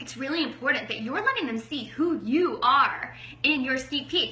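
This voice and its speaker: A woman's high, raised and projected voice at a moderate pace, with audible room echo and noticeable background noise. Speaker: network marketing coach. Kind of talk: training talk. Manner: loud.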